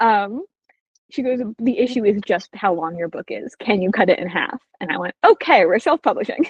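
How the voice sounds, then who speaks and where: With an animated tone, a woman speaks at a fairly high pitch, somewhat breathy, her pitch swinging very widely, in a dry, close sound with no echo. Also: moderate pace. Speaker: debut novelist. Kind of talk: interview. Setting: podcast interview.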